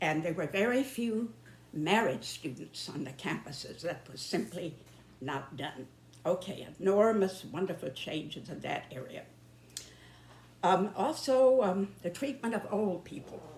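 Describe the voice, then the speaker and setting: A woman with an American accent, medium pitch, somewhat breathy, at a fairly slow pace, with very wide pitch swings and big swings in loudness. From northern US. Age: 90s. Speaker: YouTuber. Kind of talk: monologue. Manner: halting.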